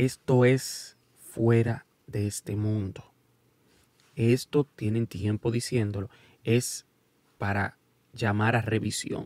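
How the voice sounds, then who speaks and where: A man at a medium pitch speaks very slowly in a flat monotone, with long, frequent pauses and a dry sound with no echo. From United States, Dominican parents. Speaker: YouTube sports commentator. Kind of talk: casual video commentary. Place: studio. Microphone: studio mic.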